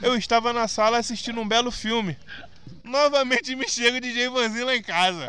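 A man's raised, projected voice at an extremely high pitch, delivered at a moderate pace. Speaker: podcast host. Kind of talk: casual chat. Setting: outdoors. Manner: animated.

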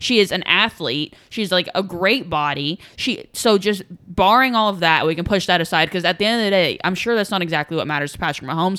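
The recording is very clean, with a silent background. A woman speaks in a plain, everyday voice at medium pitch and a fairly quick pace. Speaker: podcast host. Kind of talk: casual sports chat.

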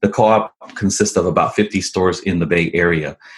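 A man speaks at a moderate pace in a fairly low, fairly even voice. It is an ordinary speaking voice. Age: 40s. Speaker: entrepreneur, coffee brand and restaurant franchise owner. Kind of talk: interview.

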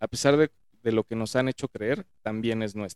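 A man's unremarkable speaking voice at medium pitch and moderate pace, with ordinary pitch variation and a dry, close sound with no echo. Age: 30s. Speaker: podcast guest, finance worker. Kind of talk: casual chat. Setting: studio, in person.

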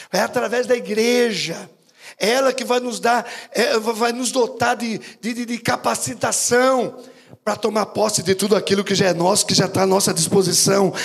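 A man with a high pitch speaks at a moderate pace, with ordinary pitch variation. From Brazil, São Paulo state interior. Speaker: bishop, preacher. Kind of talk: sermon. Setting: church with congregation. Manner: animated.

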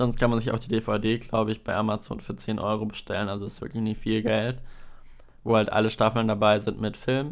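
Fairly low in pitch, a man talks at a fairly quick pace with fairly even intonation in an unremarkable speaking voice. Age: 20s. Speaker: podcast host and video editor. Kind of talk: solo podcast monologue, casual.

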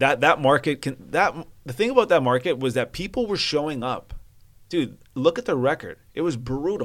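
On a very clean recording with a silent background, a man with a Canadian accent talks at a moderate pace in a plain, everyday voice, fairly high in pitch and with lively intonation. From Vancouver, Canada. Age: 30s. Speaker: sports reporter. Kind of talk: casual chat.

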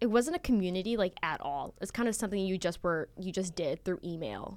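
The recording is very clean, and the background is silent. A woman talks with lively intonation. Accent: American. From US West, Las Vegas, Nevada. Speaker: student magazine photo director. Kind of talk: casual interview. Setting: studio.

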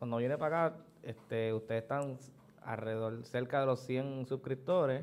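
Fairly even intonation in a man's medium-pitched, a normal speaking voice. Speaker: podcast guest. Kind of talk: casual chat.

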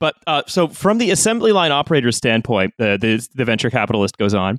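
This man has an unremarkable speaking voice at a medium pitch, moving at a fairly quick pace. The recording is very clean with a silent background and a dry, close sound with no echo. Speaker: podcast host. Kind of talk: casual chat.

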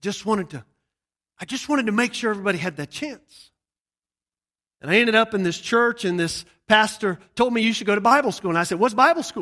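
In a very clean recording with a silent background, a man with an American accent speaks very fast in a high, raised, projected voice that is bright and sharp in tone, with lively intonation and long, frequent pauses. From US South, Georgia. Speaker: missionary preacher. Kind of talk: sermon. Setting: church service with audience.

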